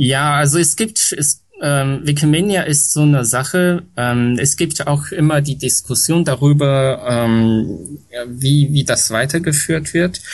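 Very slowly and at very even loudness, a man with a fairly high pitch speaks with ordinary pitch variation over noticeable background noise. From China, Shanghai. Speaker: Wikipedia volunteer, former foundation board chair. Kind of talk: interview. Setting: home with aircraft noise in background. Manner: halting, many fillers.

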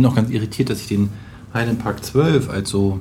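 Noticeable background noise and audible room echo surround this man's voice. He speaks at a moderate pace in a fairly low pitch with fairly even intonation. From Braunschweig, northern Germany. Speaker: web developer, podcast guest. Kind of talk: casual chat.

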